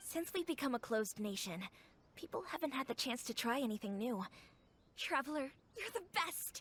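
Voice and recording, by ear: A woman's put-on character voice, high-pitched with big pitch swings, a fairly bright tone, a slightly husky edge and a moderate pace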